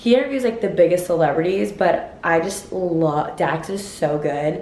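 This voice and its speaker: Audible room echo and noticeable background noise surround the recording. A woman talks at a moderate pace. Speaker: lifestyle vlogger. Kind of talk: casual vlog talk. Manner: chatty, lots of fillers.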